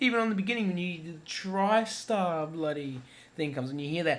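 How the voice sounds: A man with a fairly high pitch, moderate pace and fairly even intonation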